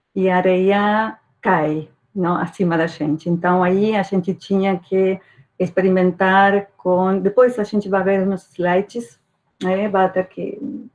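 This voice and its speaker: A woman at a medium pitch with a Uruguayan accent, fairly even intonation and a fairly slow pace. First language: Spanish (speaking Portuguese). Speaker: archaeology professor. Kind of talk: academic talk.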